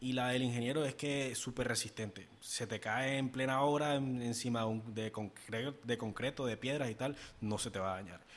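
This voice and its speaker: An unremarkable speaking voice from a man, medium in pitch, at a fairly quick pace with fairly even intonation. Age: 20s. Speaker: podcast co-host, marketing consultant. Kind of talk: casual chat.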